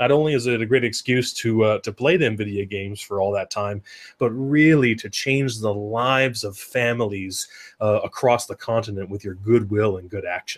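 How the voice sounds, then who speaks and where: A man with an American accent has an unremarkable speaking voice at a medium pitch and ordinary pitch variation. He talks at a fairly quick pace on a very clean recording with a silent background. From US Northwest, Oregon. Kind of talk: casual chat.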